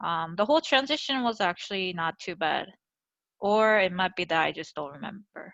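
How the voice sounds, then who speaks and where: Against a quiet background, a woman with a Korean accent speaks at a medium pitch with lively intonation. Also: moderate pace. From Seoul, South Korea, then Georgia US from age ~10. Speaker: podcast guest. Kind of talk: casual interview. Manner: hesitant, many fillers.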